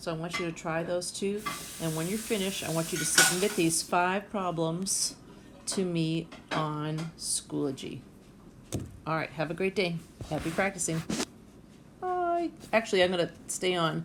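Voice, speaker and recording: Over noticeable background noise, a woman with a fairly low pitch talks at a moderate pace with fairly even intonation and long, frequent pauses. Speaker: math teacher. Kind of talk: tutorial.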